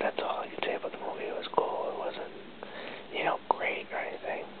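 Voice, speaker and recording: Someone whispers throughout. Their pace stays moderate. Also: man. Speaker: vlogger. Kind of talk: casual talk to camera. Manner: whispered. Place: home room. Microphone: webcam.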